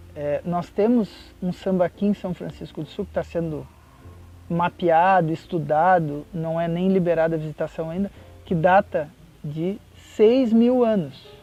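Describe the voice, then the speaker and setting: With music playing behind him, a high-pitched man speaks fairly slowly, using ordinary pitch variation and long, frequent pauses. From Porto Alegre, Rio Grande do Sul, Brazil. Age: 40s. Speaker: works at a federal institute, teaches students. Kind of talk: interview answer.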